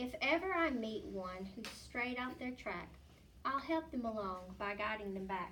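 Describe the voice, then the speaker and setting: A woman's put-on character voice, growling and fairly high-pitched, at a moderate pace over clear background noise. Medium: read story. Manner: growly, boastful.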